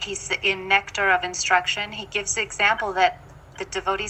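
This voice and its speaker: Clear background noise accompanies a woman whose voice sits at a medium pitch. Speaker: spiritual teacher. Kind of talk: lecture. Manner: slow.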